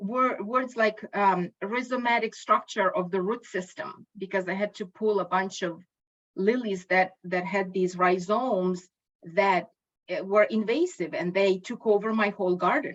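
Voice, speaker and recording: Fairly slow pace with ordinary pitch variation. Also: woman, medium pitch for a woman. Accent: Ukrainian. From Ukraine. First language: Ukrainian. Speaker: linguistics educator. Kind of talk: lecture. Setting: video call. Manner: halting.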